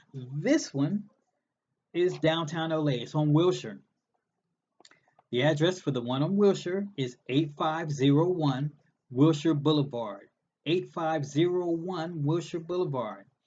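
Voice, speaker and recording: A man speaks fairly slowly in a fairly high voice, with ordinary pitch variation. His pauses are long and frequent. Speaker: recovery group speaker. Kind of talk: information session.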